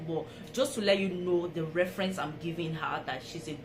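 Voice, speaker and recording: With music in the background and audible room echo, a woman speaks at a moderate pace in a fairly low pitch with ordinary pitch variation. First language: not English. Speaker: vlogger. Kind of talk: storytelling vlog. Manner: casual, conversational.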